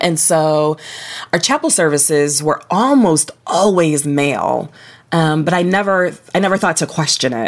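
A woman with an unremarkable speaking voice and an American accent talks fairly slowly in a fairly low pitch, with ordinary pitch variation and very even loudness. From Ohio, US Midwest. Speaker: author. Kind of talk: interview conversation.

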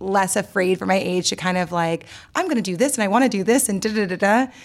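In an American accent, a woman with a plain, everyday voice talks at a fairly quick pace, with a medium pitch and ordinary pitch variation. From New Orleans, US South. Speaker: poet and author, podcast cohost. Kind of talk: casual interview chat. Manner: conversational with many fillers.

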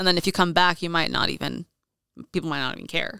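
A woman is speaking. Her voice has vocal fry. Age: 30s. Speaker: adult content creator. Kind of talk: casual chat.

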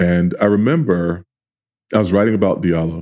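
Speaking at a fairly quick pace with an American accent, a man has a dark, mellow tone and a very deep, low pitch. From New York, Queens (South Jamaica). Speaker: journalist and journalism professor. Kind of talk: interview conversation.

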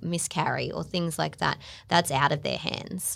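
A woman with an Australian accent talks with vocal fry on a very clean recording with a silent background. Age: 30s. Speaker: podcast host. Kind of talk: casual chat. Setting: studio.

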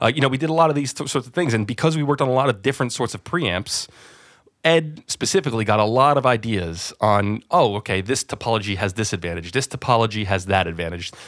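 Speaking very fast with lively intonation, a man with an American accent keeps a medium pitch. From New Jersey, US. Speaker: audio company managing director. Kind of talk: interview. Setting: remote call from office.

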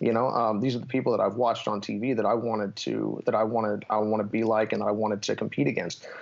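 A man's very fast, fairly low voice with vocal fry, fairly even intonation, very even loudness and hardly any pauses. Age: 30s. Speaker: MMA fighter. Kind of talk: interview.

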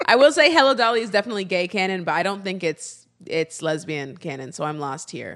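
Against a quiet background, a woman talks at a very fast pace with hardly any pauses, her medium pitch swinging very widely. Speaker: podcast co-host. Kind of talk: casual chat. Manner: loud.

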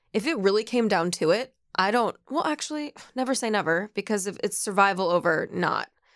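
A woman speaks in a normal speaking voice at medium pitch, moving at a fairly quick pace with lively intonation. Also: very clean recording, silent background. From US Midwest, Ohio and Minnesota. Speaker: dating show contestant. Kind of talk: casual chat. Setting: studio.

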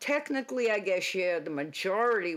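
Recorded very cleanly against a silent background, a woman speaks in a Boston accent. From Boston area, Massachusetts. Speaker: retired police officer. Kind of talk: interview storytelling.

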